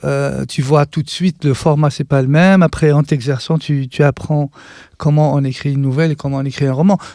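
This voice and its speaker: A man's voice has a dark, mellow tone at a fairly high pitch, with fairly even intonation and a fairly quick pace. The sound is dry and close, with no echo. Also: very clean recording, silent background. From western Algeria, Relizane. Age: 50s. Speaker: artist and writer. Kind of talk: interview. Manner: halting, many hesitations.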